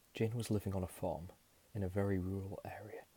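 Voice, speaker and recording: Whispering and soft-spoken, a man talks at a fairly quick pace in a somewhat breathy voice. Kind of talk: whispered ASMR horror storytelling. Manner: soft-spoken, whispering.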